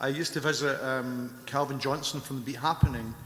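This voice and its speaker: Fairly quick in pace, a man speaks with a Scottish accent. His intonation stays fairly even. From Scotland. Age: 60s. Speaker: rock musician. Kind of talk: casual chat. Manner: halting.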